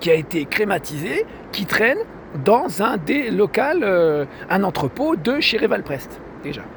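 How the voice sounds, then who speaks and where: A man's high voice with very wide pitch swings at a very slow pace, over noticeable background noise. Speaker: vlogger. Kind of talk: personal video complaint monologue. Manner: halting, many hesitations.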